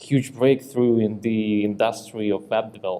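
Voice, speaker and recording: A man speaks at a medium pitch with a dark, mellow tone. His intonation stays monotone and flat. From Ukraine. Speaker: tech company CEO, conference speaker. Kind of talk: conference talk. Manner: halting.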